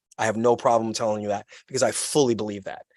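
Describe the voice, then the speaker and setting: A man at medium pitch with a Brooklyn accent, the sound dry and close with no echo. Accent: New York (Brooklyn). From New York City (Brooklyn). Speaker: podcast guest, activist. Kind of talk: casual chat. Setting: outdoors, video call. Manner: loud; animated.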